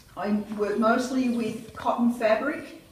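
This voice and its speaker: A woman speaks at a very slow pace. Audible room echo and light background noise are present. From Australia. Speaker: quilter, exhibiting artist. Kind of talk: gallery walkthrough talk. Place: hall. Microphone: camera far.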